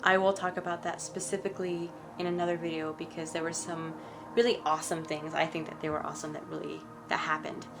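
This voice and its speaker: A fairly low-pitched woman at a fairly quick pace, with fairly even intonation and music in the background. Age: 20s. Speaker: spiritual vlogger. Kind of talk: story time monologue. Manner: halting.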